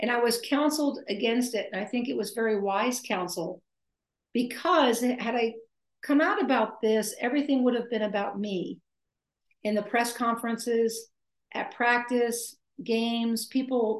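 Speaking with an American accent, a woman uses a plain, everyday voice at a fairly high pitch, moderate pace and ordinary pitch variation. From US, military family, partly Maine. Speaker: retired basketball coach, author and speaker. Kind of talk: interview. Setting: video call.

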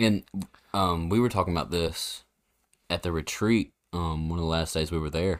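Very deep and low, this man's voice has fairly even intonation at a moderate pace. He leaves long, frequent pauses on a very clean recording with a silent background. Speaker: podcast co-host. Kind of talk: casual Bible discussion.

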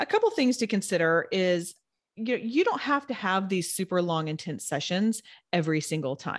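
Against a quiet background, a woman with a plain, everyday voice speaks at a medium pitch with lively intonation. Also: moderate pace. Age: 40s. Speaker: personal trainer and nutrition coach. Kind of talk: casual interview.

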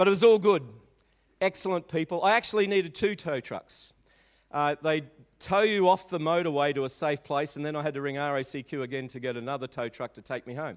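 With an Australian accent, a fairly high-pitched man speaks at a fairly quick pace with ordinary pitch variation and big swings in loudness, in dry, close sound with no echo and a very clean recording with a silent background. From Australia, Melbourne (Maribyrnong). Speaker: pastor. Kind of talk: sermon. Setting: church.

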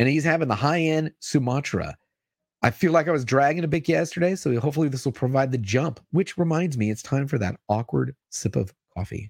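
The speaker has an ordinary speaking voice with lively intonation and a fairly quick pace. The recording is very clean, with a silent background and a dry, close sound with no echo. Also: man, fairly high pitch for a man. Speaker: comics news show host. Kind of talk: casual livestream show hosting. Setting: live YouTube stream, studio. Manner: upbeat, chatty.

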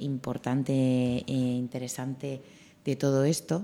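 The woman's voice sits very deep and low, with a dark, mellow tone. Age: 20s. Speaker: radio host. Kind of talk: radio interview.

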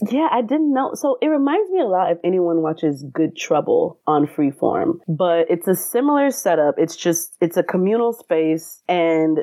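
Speaking at a fairly slow pace, a woman uses lively intonation in a fairly low pitch with very even loudness and a normal speaking voice. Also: hardly any pauses. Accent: American. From US South (Atlanta, Georgia). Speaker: actor. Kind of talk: casual interview.

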